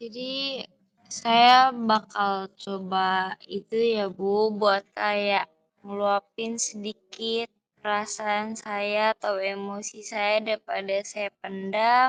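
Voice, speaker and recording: A woman with a medium-pitched voice speaks very slowly in a flat monotone, the sound dry and close with no echo. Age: 20s. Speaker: university student playing a client. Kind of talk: role-play counseling session.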